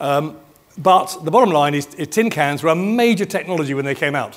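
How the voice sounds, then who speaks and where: This man speaks with a British accent. His pitch sits fairly high and varies in an ordinary way. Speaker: business futurist, keynote speaker. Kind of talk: keynote presentation. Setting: stage with audience at event. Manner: fast.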